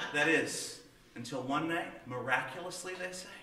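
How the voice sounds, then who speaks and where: With an American accent, a man speaks at a moderate pace and with ordinary pitch variation. Room echo is audible, and there is light background noise. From Southern United States. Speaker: storyteller. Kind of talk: tall-tale storytelling to an audience. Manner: folksy, humorous, conversational. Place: stage.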